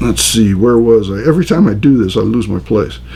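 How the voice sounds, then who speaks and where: Noticeable noise sits in the background. Over it, a man talks at a medium tempo. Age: 60s. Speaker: pastor. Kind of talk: lecture. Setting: recorded on camera.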